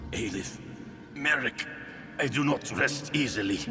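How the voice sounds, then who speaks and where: Clear background noise accompanies a man doing a put-on character voice. His pitch is fairly high, and he keeps a moderate pace. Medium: video game.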